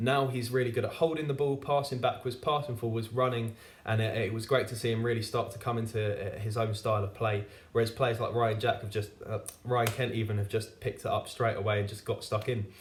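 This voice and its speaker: A somewhat breathy man at medium pitch speaks very fast with fairly even intonation. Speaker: football fan reviewer. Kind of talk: football match review monologue. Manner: halting, stutters with fillers.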